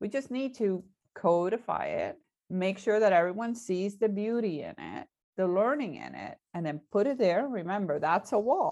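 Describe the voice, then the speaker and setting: At a moderate pace, a woman with a dark, mellow tone and medium pitch speaks with lively intonation and big swings in loudness. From Puerto Rico. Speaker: marketing executive. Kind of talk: interview.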